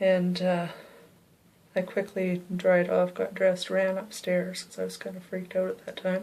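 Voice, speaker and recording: A woman with a Canadian accent talks at a moderate pace at a medium pitch. Her intonation is monotone and flat, though her loudness swings widely. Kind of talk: personal ghost story told to camera. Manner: whispered.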